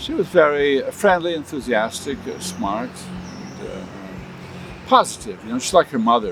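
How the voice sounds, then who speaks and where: A man talks at a moderate pace with lively intonation as noticeable background noise continues. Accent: American. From US Midwest, Michigan. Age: 70s. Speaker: linguist and researcher. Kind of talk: interview. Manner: halting, many fillers.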